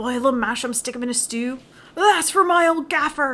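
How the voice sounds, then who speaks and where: Here a woman puts on a character voice. She speaks with a high pitch. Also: moderate pace. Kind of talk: folksy dialect.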